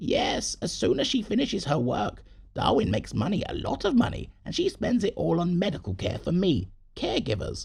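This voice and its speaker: Putting on a character voice, a man speaks high for a man and at a fairly quick pace. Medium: read story.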